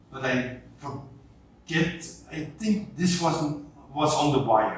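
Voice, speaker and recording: The room gives off an audible echo. Background noise is noticeable. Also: man. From Belgium. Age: 60s. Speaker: journalist and writer. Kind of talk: interview.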